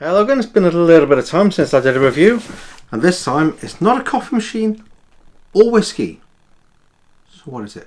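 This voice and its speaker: Someone talks at a fairly quick pace in a Welsh accent. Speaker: product reviewer. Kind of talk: casual talk to camera.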